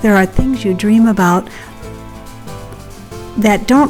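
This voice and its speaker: Music is playing underneath. Over it, a woman talks. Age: 60s. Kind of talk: casual talk to camera.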